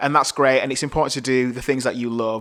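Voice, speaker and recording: A man with a Yorkshire accent speaks at medium pitch in a monotone, flat intonation. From northern England, Bradford, West Yorkshire. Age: 30s. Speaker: podcast host and video producer. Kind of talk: solo podcast monologue.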